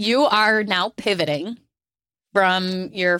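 A woman with a normal speaking voice talks at a medium pitch and fairly even intonation, recorded with a dry, close sound and no echo. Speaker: podcast host. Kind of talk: casual chat.

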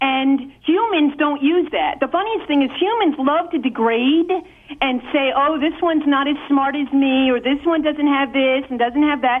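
Over noticeable background noise, a high-pitched woman talks at a moderate pace with very even loudness and ordinary pitch variation. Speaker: caller. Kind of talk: call-in argument. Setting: phone call. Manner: argumentative.

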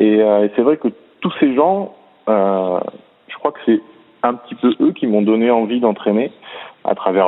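A man of medium pitch speaks at a fairly slow pace. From southern France, Montpellier. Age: 30s. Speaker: swimming coach. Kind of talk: interview.

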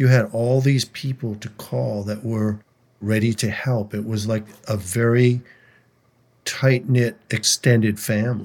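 In a normal speaking voice with an American accent, a man at a medium pitch speaks at a fairly slow pace with fairly even intonation. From Minnesota, St. Louis Park. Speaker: singer-songwriter. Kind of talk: interview conversation.

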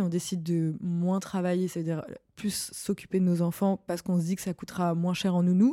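On a very clean recording with a silent background, a woman speaks at medium pitch and a fairly quick pace. Her tone is dark and mellow, her intonation fairly even. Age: 30s. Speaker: podcast host, art director. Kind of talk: scripted narration; casual chat. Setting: studio.

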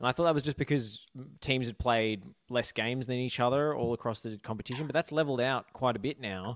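At a very fast pace, a man with a medium pitch and ordinary pitch variation speaks in a dry, close sound with no echo, the recording very clean and the background silent. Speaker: football journalist. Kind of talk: casual chat.

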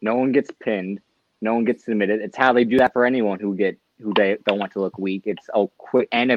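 A man with an American accent has a normal speaking voice, talking fairly quickly with fairly even intonation. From California. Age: 20s. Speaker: wrestling stats contributor. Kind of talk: casual chat.

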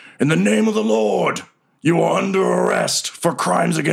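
This is a put-on character voice. It sounds raspy. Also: man, moderate pace. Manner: scary, authoritative.

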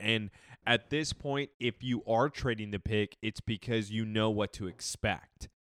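A man with an unremarkable speaking voice talks at a fairly slow pace in a medium pitch, his intonation fairly even, the sound dry and close with no echo on a very clean recording with a silent background. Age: 30s. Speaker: football podcast co-host. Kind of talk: casual chat.

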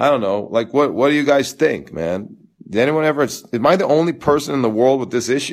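Loud and lively in intonation, a man at medium pitch talks at a fairly quick pace in a very clean recording with a silent background. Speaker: tennis coach. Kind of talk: live Q&A stream. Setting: live video stream.

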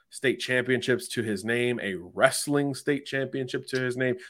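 A man's medium-pitched voice, a plain, everyday voice, at a fairly quick pace, in a very clean recording with a silent background. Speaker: college football analyst. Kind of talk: analytical sports talk, scouting breakdown.

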